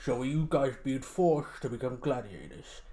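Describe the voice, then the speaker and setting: Using a put-on character voice, a man talks at a moderate pace and medium pitch with ordinary pitch variation. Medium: actual play. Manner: officious, matter-of-fact.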